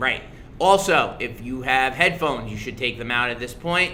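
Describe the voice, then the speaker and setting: A man talks loudly in an animated tone with lively intonation and a bright, sharp sound. There is audible room echo. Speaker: middle school social studies teacher. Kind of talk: casual livestream review for students.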